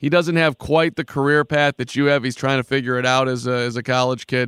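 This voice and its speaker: A man talks fairly quickly at a medium pitch with ordinary pitch variation, in a plain, everyday voice. The recording is very clean with a silent background, the sound dry and close with no echo. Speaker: radio host. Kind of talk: sports talk radio interview.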